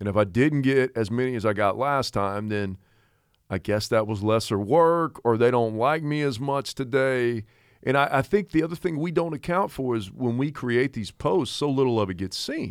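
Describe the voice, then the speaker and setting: A man speaks in a plain, everyday voice, medium in pitch and moderate in pace, with lively intonation. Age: 40s. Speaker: podcast co-host and life coach. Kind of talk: casual chat.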